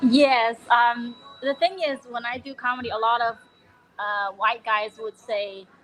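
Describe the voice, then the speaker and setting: A woman with a Chinese accent speaks in a fairly high pitch with fairly even intonation. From China. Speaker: comedian. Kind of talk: casual interview.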